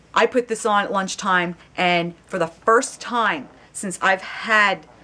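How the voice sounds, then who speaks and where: A woman's animated tone at medium pitch, ordinary pitch variation, noticeable background noise behind her. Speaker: video blogger. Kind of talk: casual chat.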